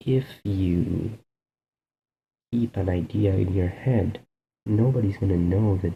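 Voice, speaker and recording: A soft-spoken man talks at a fairly slow pace with a fairly low pitch and fairly even intonation. His tone is dark and mellow, and somewhat breathy. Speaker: video blogger. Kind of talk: casual monologue. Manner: soft-spoken, keeping voice down; hesitant, with fillers.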